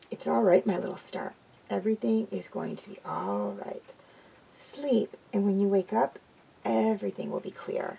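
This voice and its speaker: A soft-spoken, raspy woman in a put-on character voice, at a moderate pace with big swings in loudness. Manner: soft, soothing.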